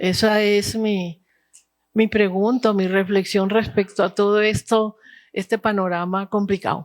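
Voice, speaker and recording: A woman speaks at a fairly slow pace and medium pitch, with monotone, flat intonation and very even loudness. The recording is very clean, silent behind her, with a dry, close sound and no echo. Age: old. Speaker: audience member. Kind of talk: audience question. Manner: halting.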